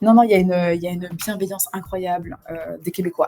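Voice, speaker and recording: Over music in the background, a woman talks at a moderate pace and medium pitch. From France. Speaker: streamer. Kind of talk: casual live stream talk. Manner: hesitant, many fillers and repetitions.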